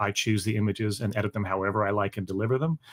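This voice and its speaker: The pace here is very fast. It belongs to a man with an American accent. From Canada. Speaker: performing arts photographer and musician. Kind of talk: live interview chat. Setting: live stream.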